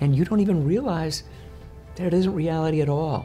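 Faint background music under a man talking at a moderate pace. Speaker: coach or speaker. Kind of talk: interview answer. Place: home room. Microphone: lapel.

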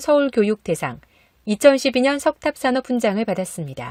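On a very clean recording with a silent background, a woman talks at a moderate pace. Her voice is high, with a dry, close sound and no echo. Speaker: news announcer. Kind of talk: news read.

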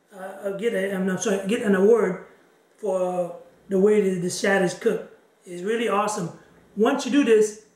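With audible room echo, a man talks at a moderate pace and fairly even intonation. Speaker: fishing vlogger. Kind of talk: tutorial. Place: kitchen. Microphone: camera far.

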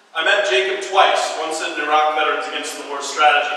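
Fairly high in pitch, a man talks at a fairly quick pace amid strong room echo and light background noise. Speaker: peace activist and Iraq war veteran. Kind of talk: eulogy-style tribute speech at a protest teach-in, solemn and remembering fallen soldiers. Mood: solemn, memorial tone. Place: hall. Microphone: camera far.

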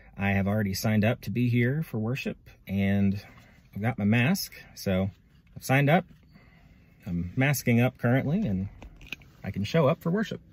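Somewhat breathy, a man talks at a moderate pace with long, frequent pauses in a dry sound with no echo. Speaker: pastor. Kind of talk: casual instructional walkthrough. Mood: friendly, light laughter. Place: car. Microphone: phone near.

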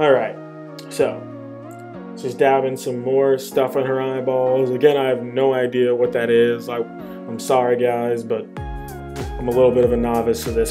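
Music plays behind the speech. A man talks at a moderate pace. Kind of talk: comedic voiceover commentary. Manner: casual, bemused.

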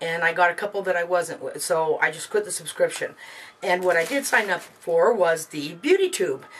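Light background noise runs through the clip. Over it, a woman speaks at a moderate pace. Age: 40s. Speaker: beauty vlogger. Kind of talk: casual product review vlog. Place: home room.

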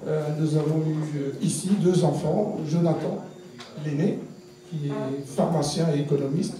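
Against light background noise and audible room echo, a man with a fairly high pitch talks at a fairly slow pace in fairly even intonation, with long, frequent pauses. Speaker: election candidate. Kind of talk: campaign speech. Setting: outdoor rally with audience.

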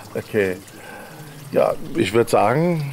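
A man talks at a fairly high pitch. Light background noise can be heard. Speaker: living room concert host. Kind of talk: casual interview. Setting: livestream from a living room. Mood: cheerful, proud. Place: garden. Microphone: handheld.

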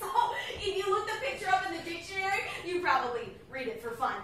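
The woman's voice moves through very wide pitch swings. Audible room echo and light background noise are present. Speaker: actor playing a schoolgirl. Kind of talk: staged reading dialogue. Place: stage. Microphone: camera far.

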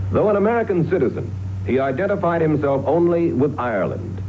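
Light background noise under a man's moderate-paced speech. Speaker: journalist. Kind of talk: TV documentary narration. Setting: old TV broadcast from VHS. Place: studio.

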